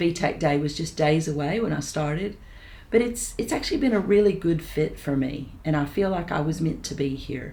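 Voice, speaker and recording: Somewhat breathy and dark, mellow in tone, a woman with an American accent speaks with very deep, low pitch and lively intonation. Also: moderate pace. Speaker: residential college principal. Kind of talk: interview answer.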